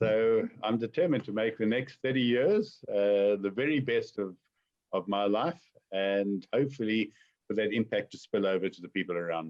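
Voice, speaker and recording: This man has an unremarkable speaking voice, fairly low in pitch with ordinary pitch variation. He speaks at a moderate pace. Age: 60s. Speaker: entrepreneur. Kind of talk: webinar Q&A.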